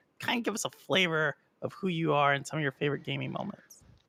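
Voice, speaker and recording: A woman with an American accent speaks at a fairly quick pace. Vocal fry comes through in her voice. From Texas. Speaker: gaming podcast host. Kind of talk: podcast interview. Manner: animated.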